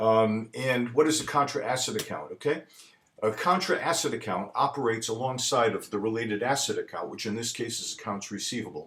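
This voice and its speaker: A man with a medium pitch, ordinary pitch variation and a fairly quick pace. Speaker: accounting professor. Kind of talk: lecture. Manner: fast.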